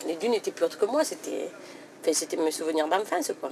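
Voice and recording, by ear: Her tone is slightly mellow. The woman's pitch varies in an ordinary way.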